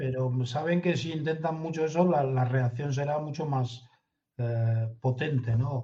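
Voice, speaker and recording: A man talks at a fairly slow pace with a fairly high pitch. He has a plain, everyday voice and fairly even intonation. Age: 60s. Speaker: intelligence consultant. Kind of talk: interview.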